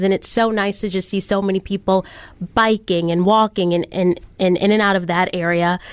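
A woman speaks in a plain, everyday voice with an American accent, her pitch medium. She keeps a moderate pace and fairly even intonation. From Detroit. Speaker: TV news personality. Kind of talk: casual chat.

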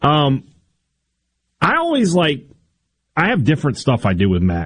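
A man talks in a somewhat breathy voice. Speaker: sports radio co-host. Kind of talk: casual radio chat.

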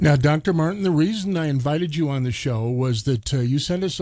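A man's dark, mellow tone comes at a moderate pace in a very clean recording with a silent background. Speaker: radio host. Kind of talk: radio interview. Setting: studio.

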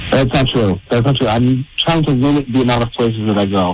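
Someone talks at a fairly quick pace with ordinary pitch variation. Noticeable background noise can be heard. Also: man. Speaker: caller. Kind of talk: heated debate.

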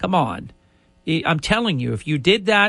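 This man talks at a fairly slow pace in a bright, sharp tone. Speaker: radio host. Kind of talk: live talk radio show, opinionated monologue. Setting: radio studio.

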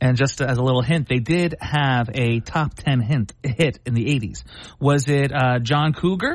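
The voice is somewhat breathy, set against a quiet background. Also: man, very even loudness. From Philadelphia. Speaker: comedian. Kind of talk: trivia quiz hosting.

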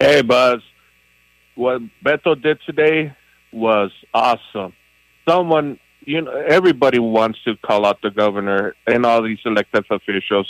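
A man talks at a moderate pace and medium pitch with ordinary pitch variation and long, frequent pauses, in a dry, close sound with no echo. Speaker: caller. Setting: phone call.

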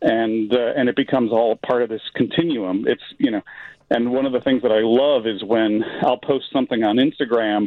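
This is an ordinary speaking voice with an American accent. It moves at a moderate pace with fairly even intonation. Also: man, medium pitch for a man. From Chicago. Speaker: artist and screenwriter. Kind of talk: radio phone interview. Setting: phone call.

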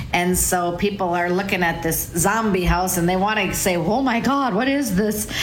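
Over noticeable background noise and audible room echo, a woman speaks at a moderate pace in a medium pitch. Her intonation is lively and her loudness very even. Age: 60s. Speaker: real estate agent. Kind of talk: radio talk show chat.

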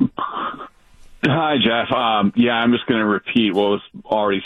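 Someone with a plain, everyday voice and an American accent talks at a fairly slow pace. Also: man. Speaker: caller. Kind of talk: casual chat. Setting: phone call.

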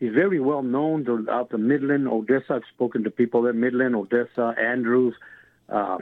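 In a West Texas accent, a man speaks at a moderate pace with a medium pitch and fairly even intonation. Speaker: caller, former high school football player. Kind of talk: radio call-in. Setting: phone call. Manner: halting, repetitive.

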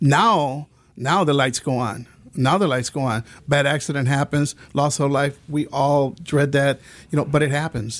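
Man at a moderate pace with ordinary pitch variation. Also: fairly high pitch for a man. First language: Spanish. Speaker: insurance agent. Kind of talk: radio interview.

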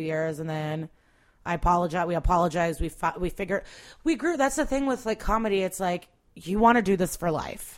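A woman with an American accent speaks in an unremarkable speaking voice at a medium pitch. Her intonation is lively and her pace fairly quick. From US Midwest (Chicago area, Skokie). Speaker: stand-up comedian. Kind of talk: casual chat.

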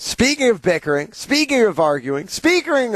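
A man speaks at a moderate pace in an animated, upbeat tone with very wide pitch swings, the sound dry and close with no echo. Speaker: radio host. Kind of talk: radio dj patter. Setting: studio. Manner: animated, upbeat, hyped-up.

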